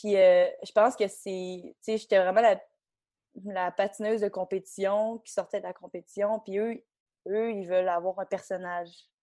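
Against a quiet background, a woman with a Quebec accent speaks at a medium pitch in a dark, mellow tone, her loudness swinging widely. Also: moderate pace. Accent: Québécois French. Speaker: figure skater. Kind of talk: casual chat. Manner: animated, laughing.

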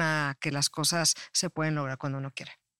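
The recording is very clean, with a silent background. A woman with a very deep, low pitch is heard in a dry, close sound with no echo. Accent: Mexican. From Mexico. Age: 50s. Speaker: life coach and public relations expert. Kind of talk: casual interview chat.

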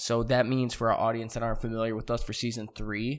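Very fast talking from a man with a medium-pitched voice. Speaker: podcast host. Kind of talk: casual chat. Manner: crude, joking.

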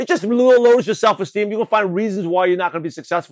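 On a very clean recording with a silent background, a man with a New York accent speaks at a high pitch. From US Northeast, Brooklyn, New York. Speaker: network marketing coach. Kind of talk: motivational podcast training. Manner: fast talker.

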